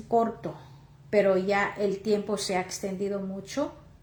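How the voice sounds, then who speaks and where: A woman talks with a Mexican accent in a dark, mellow tone at a fairly slow pace. Audible room echo is present. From Oaxaca, Mexico. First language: Chatino (speaking Spanish). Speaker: lay preacher. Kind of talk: sermon. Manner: halting.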